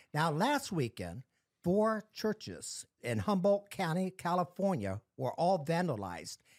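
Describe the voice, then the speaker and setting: In a very clean recording with a silent background and a dry, close sound with no echo, a man speaks at a fairly slow pace, his high pitch making very wide swings. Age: 60s.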